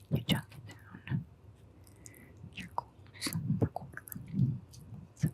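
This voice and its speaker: Whispered speech from a woman at a very slow pace, broken by long, frequent pauses. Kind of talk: ASMR whispered talk to camera. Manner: whispered, soft-spoken.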